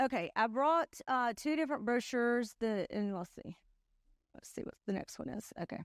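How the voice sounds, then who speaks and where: On a very clean recording with a silent background and a dry, close sound with no echo, a woman speaks with a fairly high pitch, lively intonation and big swings in loudness. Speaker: insurance sales trainer. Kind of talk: conference talk. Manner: fast.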